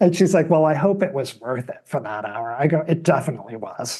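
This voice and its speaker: A man with an American accent speaks at a fairly quick pace. His voice is somewhat breathy with a dark, mellow tone. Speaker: television producer. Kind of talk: casual chat. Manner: soft-spoken.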